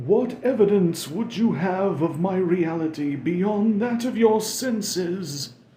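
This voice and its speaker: Using a put-on character voice, a man speaks at a high pitch in a solemn tone and a fairly slow pace. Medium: read story. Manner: solemn, slow, sepulchral.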